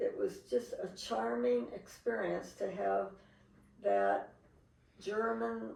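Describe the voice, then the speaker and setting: A woman with a Pacific Northwest accent at a very slow pace, her pitch swinging very wide, with audible room echo. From Seattle, US Pacific Northwest. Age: 80s+. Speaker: interviewee recalling family history. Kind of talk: interview.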